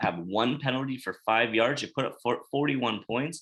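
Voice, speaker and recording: A man at a medium pitch and moderate pace, in a bright, sharp tone, on a very clean recording with a silent background. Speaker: sports podcast host. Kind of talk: casual sports chat. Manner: halting, self-correcting.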